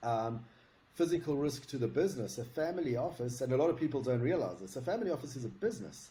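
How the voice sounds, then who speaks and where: A man with a South African accent speaks at a very fast pace in a dark, mellow tone that is somewhat breathy, his intonation lively. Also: medium pitch for a man. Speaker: security consultant. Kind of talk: interview.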